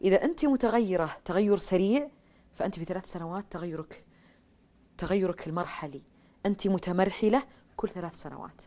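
With a dark, mellow tone and big swings in loudness, a woman of medium pitch talks at a moderate pace with lively intonation. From Saudi Arabia, Riyadh. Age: 30s. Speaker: writer; interview guest. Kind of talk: interview. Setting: studio. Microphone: lapel.

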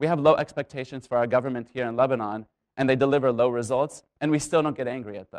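A man rattles along at a very fast pace with fairly even intonation over a quiet background. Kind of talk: public talk. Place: stage.

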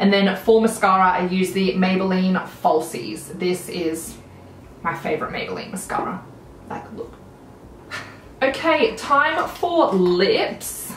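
A woman in an Australian accent, medium in pitch with lively intonation, at a fairly slow pace with long, frequent pauses, amid audible room echo and light background noise. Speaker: beauty vlogger. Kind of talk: casual chat; casual vlog chat. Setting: home video recording. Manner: animated. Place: home room.

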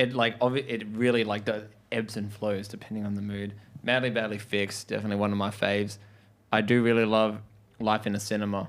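The man's voice is fairly low. He speaks fairly quickly in a flat monotone. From Australia. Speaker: rock band member. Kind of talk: casual interview. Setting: studio. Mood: relaxed, amused. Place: studio. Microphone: handheld.

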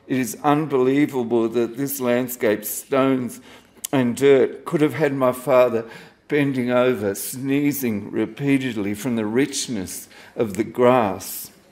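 Medium-pitched male speech in an Australian accent, fairly slow, with ordinary pitch variation. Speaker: poet. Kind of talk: poetry reading at a live event. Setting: stage with audience. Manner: wry, self-deprecating, casual. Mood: reflective, nostalgic. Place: cafe. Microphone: handheld.

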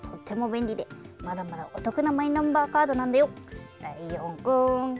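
A cartoonish character voice, fairly high in pitch, moves at a fairly quick pace over clear background music. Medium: puppet.

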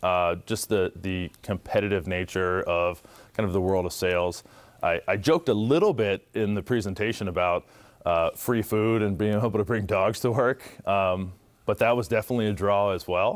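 A man at a fairly low pitch and moderate pace, with ordinary pitch variation over a quiet background. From Ohio, US Midwest. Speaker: former basketball player and tech employee; guest. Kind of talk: motivational talk to students. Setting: school audience. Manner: animated. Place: classroom. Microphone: lapel.

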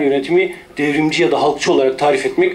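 A man talks fairly quickly, keeping his intonation fairly even. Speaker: speaker. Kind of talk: symposium talk. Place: hall. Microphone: podium.

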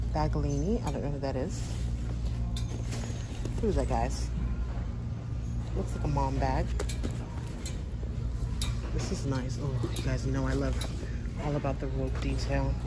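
Long pauses come often in this moderately paced speech. Music plays clearly in the background. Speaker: shopping vlogger. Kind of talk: casual vlog chat. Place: shop. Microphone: phone near.

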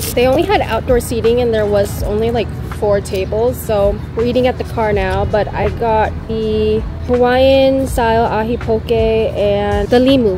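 Against noticeable background noise and audible room echo, a woman with an American accent speaks at a moderate pace. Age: 20s. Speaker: travel and food vlogger. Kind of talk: vlog narration. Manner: casual, chatty.

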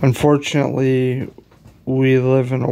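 Speaking at a very slow pace, a man is heard. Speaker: advice vlogger. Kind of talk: casual vlog chat, moral advice. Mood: earnest, preaching tone. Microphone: phone near.

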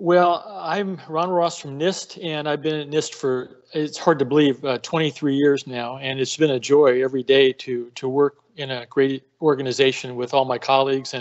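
In a quiet background, a man speaks at a moderate pace with fairly even intonation. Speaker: speaker. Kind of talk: webinar talk. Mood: warm, grateful. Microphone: video call.

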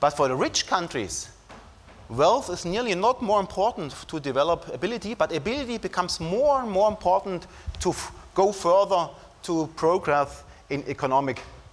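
The speaker has a German accent. Their pitch swings very widely. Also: man. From Germany. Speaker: psychologist and professor giving a talk. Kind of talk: academic lecture. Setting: conference stage with audience. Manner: formal, hesitant with fillers. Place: hall.

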